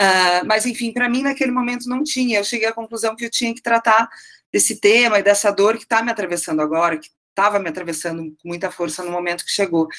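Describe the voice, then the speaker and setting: A woman with a Curitiba accent talks at a very fast pace, her medium pitch showing ordinary variation. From Curitiba, southern Brazil. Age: 40s. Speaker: writer. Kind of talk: interview.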